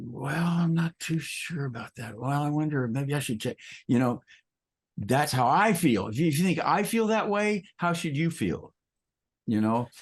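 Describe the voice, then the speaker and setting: Against a quiet background, a somewhat breathy man speaks at a moderate pace with lively intonation. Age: 70s. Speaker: acoustic designer. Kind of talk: casual chat.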